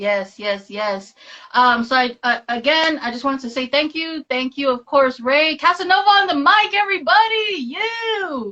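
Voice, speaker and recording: Her voice is raised and projected, high in pitch, with very wide pitch swings. The woman keeps a moderate pace. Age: 30s. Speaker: podcast host. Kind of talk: casual live-stream chat. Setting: online live stream.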